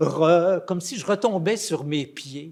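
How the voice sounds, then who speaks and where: With lively intonation, a man talks in a high voice. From Quebec, Saguenay (Chicoutimi). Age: 70s. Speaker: theatre director. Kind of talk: interview storytelling. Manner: hesitant with fillers and repetitions.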